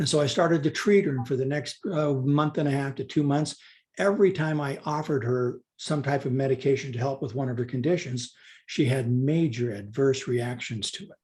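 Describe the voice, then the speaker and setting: A man's somewhat breathy, fairly high voice with ordinary pitch variation at a moderate pace. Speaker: doctor. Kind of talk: interview.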